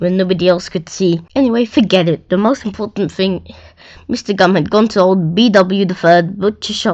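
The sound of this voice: The speaker uses an unforced reading voice. Nothing about the delivery is pushed or strained.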